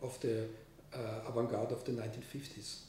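A man with a German accent talks at a moderate pace, with audible room echo and light background noise. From Austria. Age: 50s. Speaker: composer. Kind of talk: interview. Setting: studio. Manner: halting. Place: home room. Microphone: camera far.

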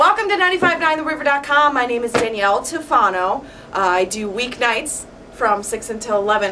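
A woman speaks at a fairly quick pace in a fairly high pitch, with ordinary pitch variation. Her tone is bright and sharp, and there is faint background noise.

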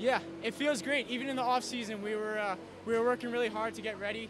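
A man talks at a very fast pace in a high voice with ordinary pitch variation. The sound is dry with no echo, and there is noticeable background noise. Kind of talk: interview answer. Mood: happy after winning. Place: hall. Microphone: handheld.

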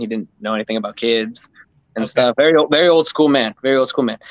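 In a quiet, dry setting with no echo, a man talks in an unremarkable speaking voice at medium pitch, with ordinary pitch variation. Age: 30s. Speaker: freeskating community member; interview guest. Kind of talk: casual chat. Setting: live stream. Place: home room. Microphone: video call.

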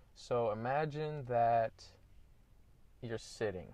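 Somewhat breathy speech with ordinary pitch variation and a dry sound with no echo. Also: man. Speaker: vlogger. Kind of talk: casual vlog chat. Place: car. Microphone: earbuds.

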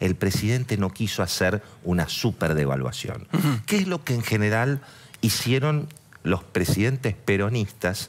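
Speaking fairly slowly, a man with a fairly low pitch makes very wide pitch swings while his loudness stays very even. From Argentina. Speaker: economic journalist. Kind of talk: TV interview. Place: studio. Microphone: headset.

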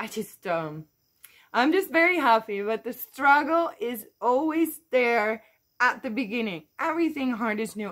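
A woman speaks at a moderate pace in a high voice. Her pitch swings very widely over a quiet background. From Netherlands. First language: Dutch. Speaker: YouTuber and online entrepreneur. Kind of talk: vlog monologue. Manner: hesitant with many fillers. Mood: upbeat, encouraging. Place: garden. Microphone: phone near.

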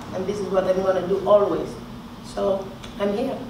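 A woman speaks with a Greek accent. Audible room echo and noticeable background noise surround her voice. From Greece. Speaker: boxer. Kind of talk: press conference answers. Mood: calm, determined. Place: hall.

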